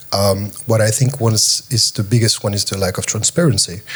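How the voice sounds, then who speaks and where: A man with a French accent, fairly low pitch, ordinary pitch variation and a somewhat breathy sound. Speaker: panelist, tokenization company representative. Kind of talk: panel discussion.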